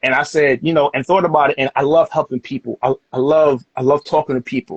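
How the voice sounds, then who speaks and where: A man with an American accent, very fast, fairly high-pitched and somewhat breathy, with fairly even intonation. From New York City, the Bronx. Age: 30s. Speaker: podcast host. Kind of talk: casual chat.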